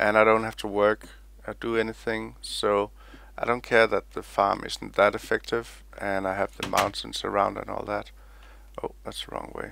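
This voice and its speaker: With a Danish accent, the speaker's loudness swings widely on a very clean recording with a silent background. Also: man, moderate pace. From Denmark. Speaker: gaming YouTuber. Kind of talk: gameplay commentary. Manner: casual and meandering.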